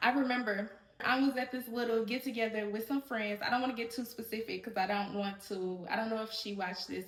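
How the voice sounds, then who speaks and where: There is noticeable background noise behind this woman. She talks at a fairly quick pace with a fairly high pitch. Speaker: podcast host. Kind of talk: solo podcast monologue. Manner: loud, projected voice; animated, fast rambling.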